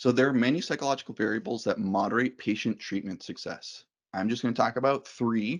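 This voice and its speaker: Against a quiet background, a man with a medium pitch and ordinary pitch variation speaks at a fairly quick pace. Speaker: psychologist giving a staff training talk. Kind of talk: lecture. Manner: fast.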